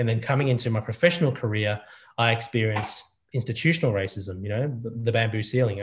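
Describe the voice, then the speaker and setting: This man's voice is somewhat breathy, at a medium pitch. He speaks at a very fast pace with fairly even intonation. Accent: Australian. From Australia. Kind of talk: panel conversation. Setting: video call.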